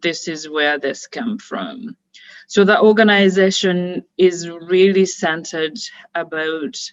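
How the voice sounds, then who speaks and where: A woman with a Ugandan accent speaks very slowly at a medium pitch with ordinary pitch variation. Her loudness swings widely. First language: Luganda. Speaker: founder and director of a women's organization. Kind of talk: webinar opening remarks. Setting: online webinar. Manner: hesitant, many fillers.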